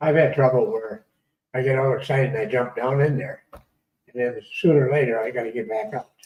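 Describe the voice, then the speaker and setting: A man with an American accent talks in a somewhat breathy voice, his loudness swinging widely. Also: medium pitch for a man, ordinary pitch variation, fairly quick pace. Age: 80s+. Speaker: metal detectorist. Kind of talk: casual chat.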